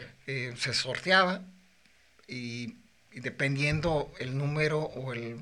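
In a Mexican accent, a man talks at a fairly high pitch. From Mexico, Morelia, Michoacán. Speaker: bullfighter. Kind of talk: casual chat.

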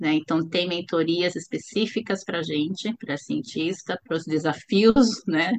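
A woman talks with a plain, everyday voice at a fairly low pitch. Her pace is moderate, with ordinary pitch variation and hardly any pauses. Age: 50s. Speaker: startup founder, chemical engineer. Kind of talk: interview.

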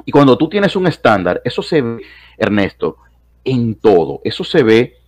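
This man's pitch swings very widely. He talks fairly slowly. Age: 30s. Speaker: philosophy professor. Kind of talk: casual chat.

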